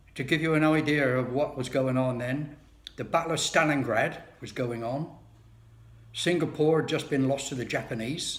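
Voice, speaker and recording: Amid audible room echo, a man speaks at a moderate pace in a fairly high voice with fairly even intonation. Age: 70s. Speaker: video blogger. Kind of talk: personal monologue. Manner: casual, wry.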